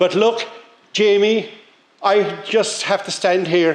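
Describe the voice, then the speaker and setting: Noticeable background noise accompanies a man speaking with a Cork accent. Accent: Irish (Cork). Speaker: local councillor. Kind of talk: speech at launch event.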